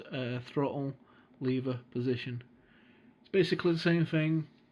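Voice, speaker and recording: A medium-pitched man with a British accent and fairly even intonation. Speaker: flight sim gamer and tutorial maker. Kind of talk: tutorial. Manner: casual, hesitant with fillers. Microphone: recorded on a phone.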